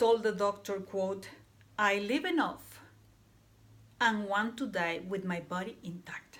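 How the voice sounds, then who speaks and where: A woman in a Panamanian accent, medium in pitch, at a very slow pace. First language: Spanish. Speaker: student. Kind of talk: class presentation. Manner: halting.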